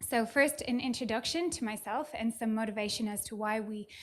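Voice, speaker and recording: Her pitch is high. The woman speaks at a fairly quick pace. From Ireland. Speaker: data scientist speaker. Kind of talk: conference talk.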